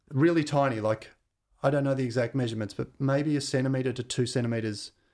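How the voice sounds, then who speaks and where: With an Australian accent, a man talks fairly quickly. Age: 50s. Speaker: radio DJ and musician. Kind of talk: casual chat.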